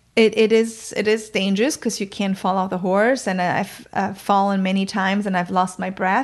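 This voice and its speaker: At a moderate pace and with hardly any pauses, a woman speaks in a monotone, flat intonation. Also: medium pitch for a woman, quiet background. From northern Germany, countryside near Bremen. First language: German. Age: 40s. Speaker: communication coach. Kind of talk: interview. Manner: hesitant, with many fillers.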